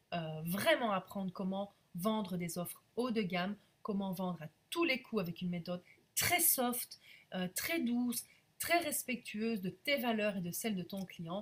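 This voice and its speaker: Somewhat breathy, a woman speaks at a fairly slow pace in a medium pitch with lively intonation. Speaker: business coach. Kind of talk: live stream sales pitch. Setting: live video stream. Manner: hesitant with frequent fillers.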